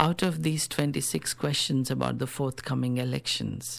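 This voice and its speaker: Speaking with a Telugu accent, a man talks at a fairly slow pace with a medium pitch. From South India. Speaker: rationalist activist. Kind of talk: radio interview.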